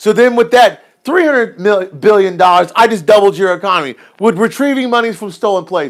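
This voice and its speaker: A man speaks loud and fairly quick, with hardly any pauses, at a high pitch. His tone is animated and his intonation lively. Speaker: livestream host on currency investing. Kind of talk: casual livestream chat. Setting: live stream. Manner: loud, hollering.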